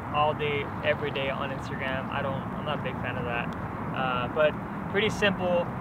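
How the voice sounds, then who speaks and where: A man talks with ordinary pitch variation while loud background noise fills the clip. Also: moderate pace. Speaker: outdoor vlogger. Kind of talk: casual vlog chat.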